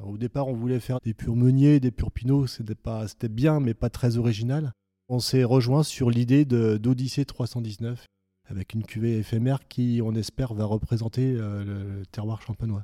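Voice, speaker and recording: Recorded very cleanly against a silent background, a man with a dark, mellow tone and medium pitch speaks fairly slowly with fairly even intonation, the sound dry and close with no echo. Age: 50s. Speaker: winegrower. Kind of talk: interview. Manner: halting.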